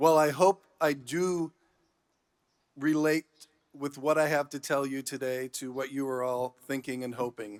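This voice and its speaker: The speaker is a man using a normal speaking voice with an American accent and ordinary pitch variation. The recording is very clean and silent behind him, dry and close with no echo. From Chicago and Los Angeles. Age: 60s. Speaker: entertainment journalist. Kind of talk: commencement speech. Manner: formal.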